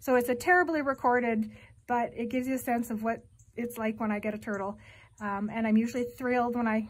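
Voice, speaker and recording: The voice is somewhat breathy and moves at a very fast pace, with ordinary pitch variation and big swings in loudness. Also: woman. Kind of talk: casual vlog chat. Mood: warm, friendly. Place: home room. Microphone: phone near.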